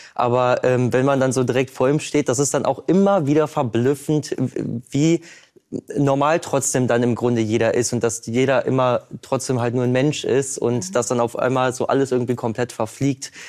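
A man in a plain, everyday voice speaks at a medium pitch and moderate pace, with very even loudness and fairly even intonation. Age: 20s. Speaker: painter. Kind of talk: talk show interview.

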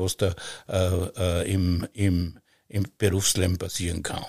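The voice belongs to a man with a very deep, low pitch. It sounds somewhat breathy. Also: very clean recording, silent background. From Austria, Styria. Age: 70s. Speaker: master butcher. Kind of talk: casual chat. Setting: wooden farm granary.

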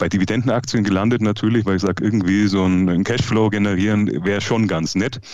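A man in a normal speaking voice talks at a fairly quick pace, with a fairly low pitch, fairly even intonation and very even loudness. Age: 30s. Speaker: private investor and Instagram creator. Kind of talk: casual chat. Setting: video call.

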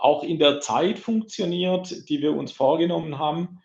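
A man delivers his words at a very slow pace, his pitch varying in an ordinary way. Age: 50s. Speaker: IT security sales manager. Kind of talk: casual interview. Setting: large meeting room.

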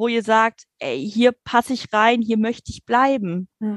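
A woman speaks at a very slow pace with a fairly high pitch and ordinary pitch variation, in a dry, close sound with no echo. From Germany, near Dutch border. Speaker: nursing care manager. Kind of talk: interview.

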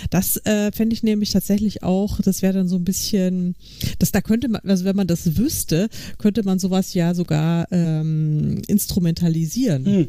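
A woman talks at a moderate pace, her pitch medium and its variation ordinary. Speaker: podcast co-host. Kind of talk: casual chat.

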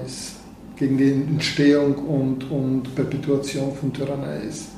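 Over noticeable background noise and audible room echo, a man talks fairly slowly at a fairly high pitch with monotone, flat intonation. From Bulgaria. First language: Bulgarian (speaking German). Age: 50s. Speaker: neurosurgeon. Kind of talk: interview. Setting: in his office.

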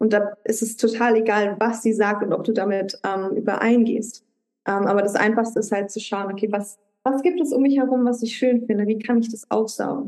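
Using a normal speaking voice, a woman talks at a fairly high pitch and a moderate pace with fairly even intonation. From Luxembourg. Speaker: life coach. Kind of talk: casual interview. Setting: video call.

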